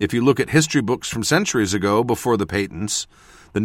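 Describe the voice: Plain reading aloud is heard here, its pitch varying in an ordinary way.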